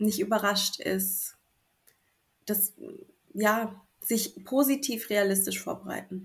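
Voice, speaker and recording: Somewhat breathy and medium in pitch, a woman speaks at a very slow pace with fairly even intonation. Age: 30s. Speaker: new mother sharing birth story. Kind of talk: interview. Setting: remote recording in the evening.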